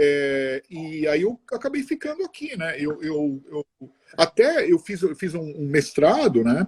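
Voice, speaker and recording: A man with a fairly high-pitched voice speaks at a very slow pace. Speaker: mechanical engineer. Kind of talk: interview. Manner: halting.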